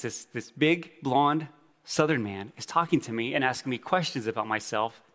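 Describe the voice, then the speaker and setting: With an American accent, a man in a plain, everyday voice talks fairly quickly at a fairly high pitch, his intonation lively. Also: very clean recording, silent background. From Navajo reservation, Arizona (Tuba City area). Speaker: church planter. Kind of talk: conference talk. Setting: stage with audience.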